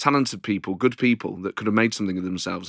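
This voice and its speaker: A man speaks in an East Midlands accent with a bright, sharp tone. The recording is very clean and the background silent. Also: dry, close sound with no echo. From Nottingham, England. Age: 40s. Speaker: comedian. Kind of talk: interview.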